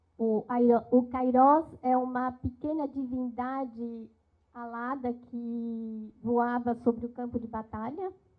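A woman speaks very slowly at a high pitch, in a monotone, flat way. Her loudness swings widely against a quiet background. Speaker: interpreter; guest lecturer speaking French. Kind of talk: consecutive interpretation. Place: hall. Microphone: handheld.

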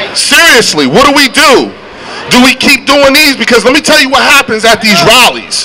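A man projects a raised voice at an extremely high pitch and a moderate pace. His pitch varies in an ordinary way over light background noise. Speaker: rally emcee. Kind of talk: rally speech. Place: street. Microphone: handheld.

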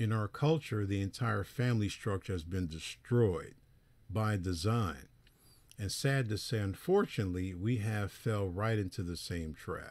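A man with a plain, everyday voice and fairly low pitch speaks fairly slowly with ordinary pitch variation on a very clean recording with a silent background. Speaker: preacher. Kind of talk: lecture.

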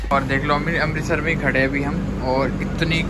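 Loud background noise runs under this clip. A man talks at a moderate pace. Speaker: travel vlogger. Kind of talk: casual vlog chat. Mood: annoyed, complaining. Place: train. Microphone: phone near.

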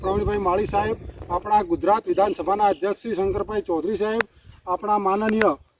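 Noticeable background noise sits behind a man speaking. His pitch is high and his intonation fairly even. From India, Gujarat (Banaskantha, Deesa area). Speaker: villager. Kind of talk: news interview.

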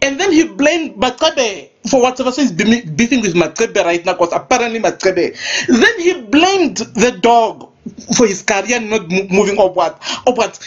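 A woman's fairly high voice with very wide pitch swings, over noticeable background noise. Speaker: gossip vlogger. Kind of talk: celebrity gossip rant. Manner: animated.

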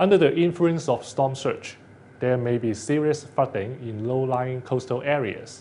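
At a fairly slow pace, a man talks with ordinary pitch variation over light background noise. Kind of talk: weather briefing. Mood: calm, serious, formal. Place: studio.

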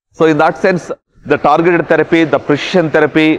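A man speaks at a very fast pace. His pitch sits fairly high for a man. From India. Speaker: surgeon. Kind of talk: interview. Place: hall.

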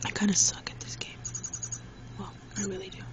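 Noticeable background noise sits under speech at a moderate pace, with dry sound and no echo. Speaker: toy reviewer. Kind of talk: ASMR toy review. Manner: casual, hesitant. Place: home room. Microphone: phone near.

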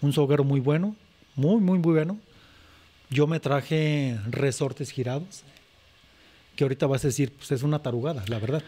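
The speaker has a dark, mellow, somewhat breathy tone, talks at a moderate pace with long, frequent pauses, and uses ordinary pitch variation. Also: man, fairly high pitch for a man. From Zacatecas, Mexico. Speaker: charro, rope-trick instructor. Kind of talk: casual chat.

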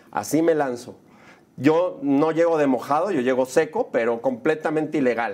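In an animated tone, a man with a fairly high pitch speaks at a moderate pace with lively intonation. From Mexico City. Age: 40s. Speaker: film director and producer; interview guest. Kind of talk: casual interview. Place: studio. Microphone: lapel.

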